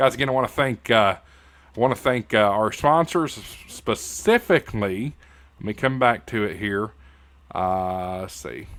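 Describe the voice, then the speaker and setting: A man with an American accent and a fairly low pitch, at a moderate pace with lively intonation, in a very clean recording with a silent background. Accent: hillbilly. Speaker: YouTube host and radio news anchor. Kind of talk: casual YouTube outro. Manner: halting, many fillers. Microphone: good microphone.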